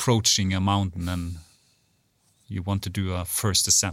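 The recording is very clean with a silent background. Delivery comes at a fairly slow pace. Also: man. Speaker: podcast host. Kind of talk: interview. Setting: studio.

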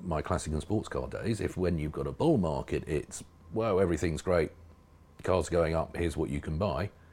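A man with a southern English accent, speaking at a fairly quick pace. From southern England, East Berkshire. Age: 50s. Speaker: classic car magazine editor. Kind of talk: casual interview. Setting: studio.

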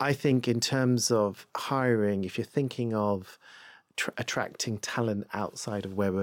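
Over a silent background in a very clean recording, a man talks at a moderate pace in an ordinary speaking voice with fairly even intonation. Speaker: diversity and inclusion head. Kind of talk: casual interview. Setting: studio.

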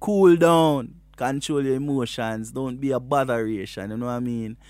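A man speaks at medium pitch with a Jamaican accent and ordinary pitch variation. His pace is moderate, with hardly any pauses. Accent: Jamaican patois. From Jamaica, Westmoreland. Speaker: reggae artist. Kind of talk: casual interview.

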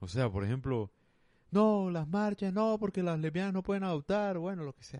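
Lively intonation from a high-pitched man with a dark, mellow tone, big swings in loudness and a moderate pace, the sound dry and close with no echo over a quiet background. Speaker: podcaster. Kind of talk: casual solo monologue.

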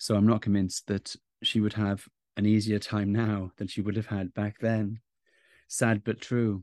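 A man with a Welsh accent talks in a fairly low pitch with monotone, flat intonation. The sound is dry and close with no echo, over a quiet background. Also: moderate pace. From South Wales. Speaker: podcast host, author and journalist. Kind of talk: interview.

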